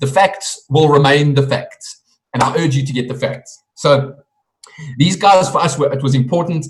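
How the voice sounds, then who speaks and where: A man speaks at a moderate pace in a fairly high pitch. His voice is somewhat breathy, with ordinary pitch variation. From South Africa. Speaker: network marketing presenter. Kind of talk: sales pitch.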